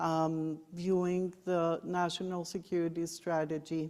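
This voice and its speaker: The pace is very slow. The tone is dark and mellow. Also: woman. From Colombia. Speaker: former diplomat, trade expert. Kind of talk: panel discussion. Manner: hesitant, many fillers.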